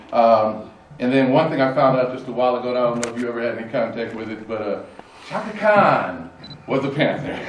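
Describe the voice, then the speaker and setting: A man's American accent at a very fast pace, ordinary pitch variation, audible room echo and noticeable background noise. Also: medium pitch for a man. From northern California, Oakland. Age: 60s. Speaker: panel moderator. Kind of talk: panel discussion remarks. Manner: halting, many fillers.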